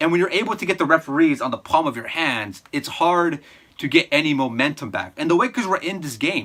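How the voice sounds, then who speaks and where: A man speaks at a fairly quick clip with a fairly high pitch and lively intonation. His tone is animated, bright and sharp. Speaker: sports commentator YouTuber. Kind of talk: fan reaction recap.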